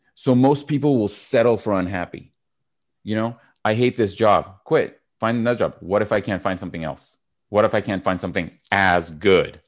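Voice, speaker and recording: An animated voice speaks at a moderate pace with ordinary pitch variation. The background stays quiet. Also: man, fairly low pitch for a man. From Canada. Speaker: public speaking coach and entrepreneur. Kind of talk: podcast interview.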